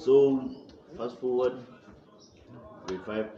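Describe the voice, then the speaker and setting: A fairly slow delivery with noticeable background noise. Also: man. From South Africa, Limpopo. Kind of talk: group discussion.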